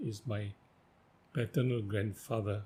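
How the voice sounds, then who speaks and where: A man's voice carries a dark, mellow tone. It sounds somewhat breathy. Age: 80s+. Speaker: writer. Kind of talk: interview.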